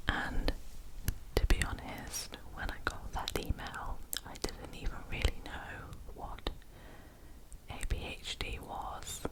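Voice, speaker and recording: Whispered speech comes at a very slow pace with long, frequent pauses and noticeable background noise. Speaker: scientist with a PhD. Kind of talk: ASMR whisper ramble. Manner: whispered, soft-spoken.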